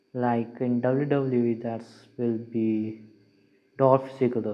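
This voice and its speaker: The man's intonation stays monotone and flat as he talks. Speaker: MMA reaction YouTuber. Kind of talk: reaction commentary. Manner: halting, stuttering.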